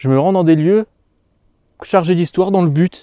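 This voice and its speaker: Heard dry and close with no echo, a man speaks in a dark, mellow tone with ordinary pitch variation. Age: 20s. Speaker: paranormal investigator youtuber. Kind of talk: interview answer on camera. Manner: hesitant, many fillers.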